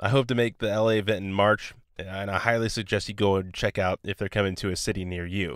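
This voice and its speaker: A man speaking at a very fast pace in an upbeat tone, on a very clean recording with a silent background. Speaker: podcast host. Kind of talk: podcast intro. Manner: casual, upbeat.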